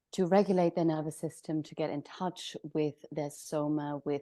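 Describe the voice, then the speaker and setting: A woman with a German accent speaks at a moderate pace in a very deep, low voice with a dark, mellow tone. The sound is dry and close with no echo, over a quiet background. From Germany. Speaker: somatic practitioner. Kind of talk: interview.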